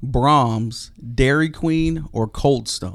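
A normal speaking voice belongs to this man, who has a medium pitch and ordinary pitch variation. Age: 30s. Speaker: police officer, podcast co-host. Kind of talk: casual chat. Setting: studio.

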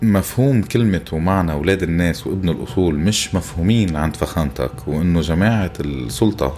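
With music in the background, a man speaks at a moderate pace in a very deep, low pitch, with lively intonation and very even loudness. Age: 40s. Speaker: podcast host. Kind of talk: improvised monologue. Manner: animated.

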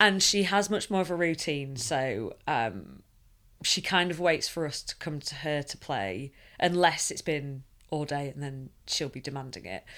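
At a fairly slow pace, the speaker uses lively intonation and big swings in loudness on a very clean recording with a silent background. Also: woman, very deep, low pitch for a woman. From Sheffield, northern England. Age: 30s. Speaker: charity worker. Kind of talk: casual interview.

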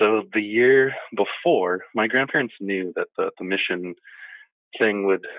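At a moderate pace, a man with an unremarkable speaking voice and fairly low pitch talks with lively intonation. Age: 30s. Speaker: guest. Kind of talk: casual interview chat.

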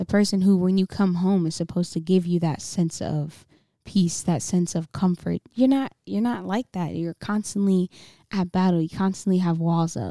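Recorded very cleanly against a silent background with a dry, close sound and no echo, a woman talks at a moderate pace in a fairly low pitch with a dark, mellow tone. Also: ordinary pitch variation. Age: 20s. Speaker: podcast co-host. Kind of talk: casual chat.

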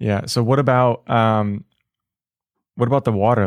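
A man with an American accent and a normal speaking voice, fairly low in pitch, at a moderate pace with ordinary pitch variation, in a dry, close sound with no echo. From Florida (Oldsmar, Tampa Bay area). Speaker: podcast host, realtor. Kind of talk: casual interview.

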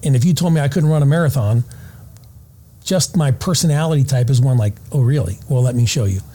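A man's somewhat breathy, medium-pitched voice at a very fast pace, with ordinary pitch variation and very even loudness. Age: 50s. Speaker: retired SWAT sniper and former Navy SEAL, firearms instructor. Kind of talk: casual interview. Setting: conference venue recording.

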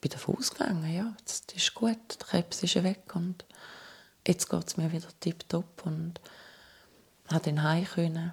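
A woman speaks in a fairly low, somewhat breathy voice. Her pace is fairly slow and her intonation fairly even. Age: 40s. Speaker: cancer survivor. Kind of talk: testimony.

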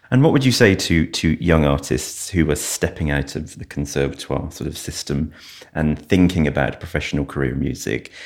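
This man's voice sits very deep and low, with vocal fry. He talks at a fairly quick pace. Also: ordinary pitch variation. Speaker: podcast host. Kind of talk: interview.

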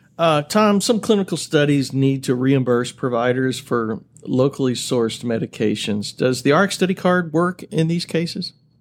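Using a normal speaking voice, a man with a fairly high pitch talks at a fairly slow pace with lively intonation. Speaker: podcast host, marketing VP. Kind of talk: podcast hosting, scripted intro.

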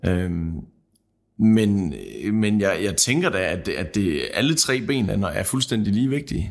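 Speaking at a very slow pace with long, frequent pauses, a man uses a fairly low voice and lively intonation. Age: 30s. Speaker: seed grower. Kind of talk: panel discussion. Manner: halting.

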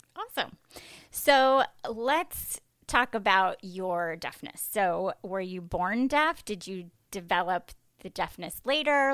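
Speaking very slowly, a woman at medium pitch uses a bright, sharp tone and lively intonation on a very clean recording with a silent background. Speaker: podcast host. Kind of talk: casual interview.

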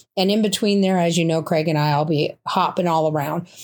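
A woman's normal speaking voice, fairly low in pitch with fairly even intonation, in a very clean recording with a silent background. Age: 60s. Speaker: podcast host. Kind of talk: solo podcast monologue. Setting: home bedroom.

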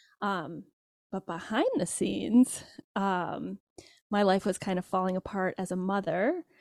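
A woman with an American accent talks at a fairly slow pace, medium pitch and ordinary pitch variation in a plain, everyday voice. The recording is very clean with a silent background and a dry, close sound with no echo. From Michigan, US. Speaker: social scientist and parenting educator. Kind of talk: interview.

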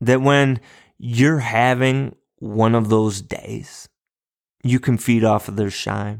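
The recording is very clean with a silent background. A man speaks at a very slow pace and medium pitch, with ordinary pitch variation. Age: 40s. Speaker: podcast host and elementary school teacher. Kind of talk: solo motivational talk. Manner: upbeat, encouraging.

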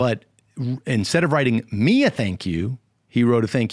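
An unremarkable speaking voice at a fairly slow pace. The sound is dry and close with no echo, on a very clean recording over a silent background. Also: man. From Connecticut. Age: 50s. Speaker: youth minister. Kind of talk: interview.

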